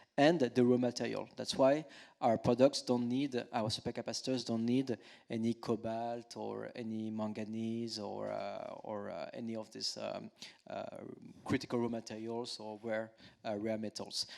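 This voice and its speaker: A man with a strong French accent speaks at a moderate pace, with big swings in loudness. The recording is very clean, with a silent background. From France. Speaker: climate tech company executive. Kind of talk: panel discussion. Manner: halting, many fillers.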